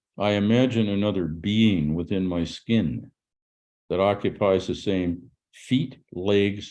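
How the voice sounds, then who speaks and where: Against a quiet background, a man speaks very slowly in a dark, mellow tone at a fairly low pitch with ordinary pitch variation. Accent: Canadian. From Canada. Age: 80s+. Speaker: author and musician. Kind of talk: podcast interview. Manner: halting.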